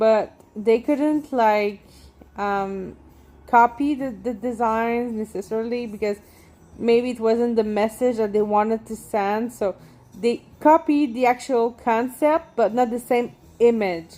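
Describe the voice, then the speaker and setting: At a fairly high pitch, a woman talks at a fairly slow pace in a dark, mellow tone, with fairly even intonation. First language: French. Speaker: tattoo artist and painter. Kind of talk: casual vlog monologue while walking. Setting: outdoors walking in neighborhood. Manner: halting, many fillers and restarts.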